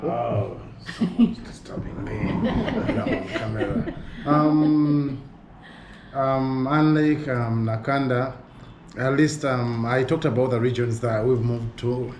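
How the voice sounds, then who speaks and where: Over noticeable background noise and audible room echo, a man talks in a medium pitch with ordinary pitch variation. His pace is fairly slow, broken by long, frequent pauses. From Uganda. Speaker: fieldwork team member. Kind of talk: casual chat. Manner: hesitant, many fillers.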